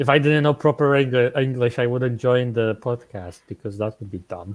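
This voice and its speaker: With a Polish accent, a man of medium pitch speaks at a moderate pace and with ordinary pitch variation, his loudness swinging widely in a dry, close recording with no echo. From Poland. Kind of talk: casual chat. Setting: online group call.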